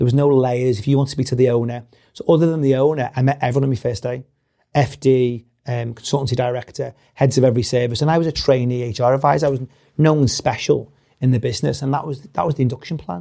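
A man with a Liverpool accent talks very fast at a medium pitch, his tone dark and mellow and his intonation fairly even. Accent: Scouse (Liverpool). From Liverpool, England. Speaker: company CEO. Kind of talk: interview conversation.

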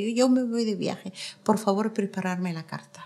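A woman speaks at a medium pitch with fairly even intonation and a moderate pace. Hers is an unremarkable speaking voice. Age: 50s. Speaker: activist against female genital mutilation.

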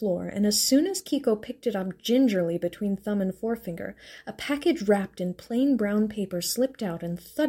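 This is a reading aloud in a natural voice with lively intonation.

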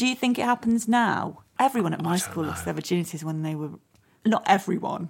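A woman's medium-pitched voice, an ordinary speaking voice, with lively intonation at a fairly quick pace. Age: 40s. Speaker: podcast host and actress. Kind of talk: casual chat.

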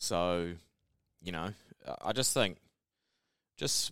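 In a very clean recording with a silent background, a man with a New Zealand accent speaks in a bright, sharp tone with ordinary pitch variation. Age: 30s. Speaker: podcast co-host. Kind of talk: casual chat.

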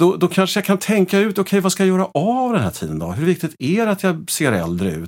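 On a very clean recording with a silent background, a man speaks very quickly. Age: 50s. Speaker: gestalt therapist. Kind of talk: casual chat.

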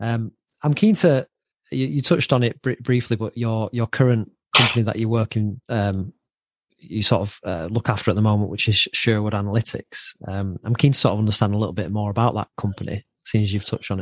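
This man has an unremarkable speaking voice with a fairly low pitch. The sound is dry and close with no echo, and the background is quiet. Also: ordinary pitch variation. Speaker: podcast host. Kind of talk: casual interview.

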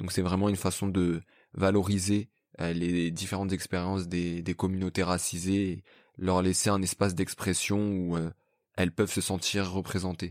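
With a very deep, low pitch and a flat, monotone delivery, a man speaks at a moderate pace in a dry, close recording with no echo. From France. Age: 20s. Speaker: podcaster and journalism graduate. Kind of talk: casual conversation. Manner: halting, many fillers.

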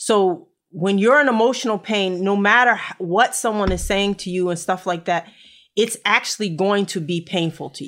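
In a very clean recording with a silent background, a woman uses a normal speaking voice at a medium pitch, with ordinary pitch variation and a moderate pace. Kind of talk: casual talk, live-streamed conversation. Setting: Facebook Live video stream.

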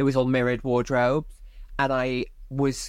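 The speech is monotone, with flat intonation and a Welsh accent. It moves at a moderate pace. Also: woman. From South Wales (Barry). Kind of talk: casual interview chat.

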